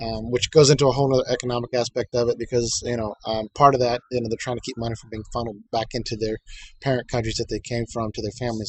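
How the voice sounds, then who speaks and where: In an American accent, the speaker talks at a very fast pace, somewhat breathy and with fairly even intonation. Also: man. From United States. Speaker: vlogger. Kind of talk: casual monologue. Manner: halting, many fillers and repetitions.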